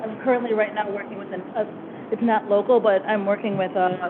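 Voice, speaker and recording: Over noticeable background noise, a woman with a slight Boston accent talks very fast in a fairly high, monotone, flat voice. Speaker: consultant. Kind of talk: presentation Q&A.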